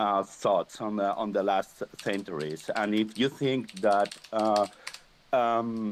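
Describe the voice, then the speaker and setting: A man with a non-native accent, talking at a very slow pace. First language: not English. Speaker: audience speaker in a live space. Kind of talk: casual discussion. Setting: live audio space restreamed online. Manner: halting.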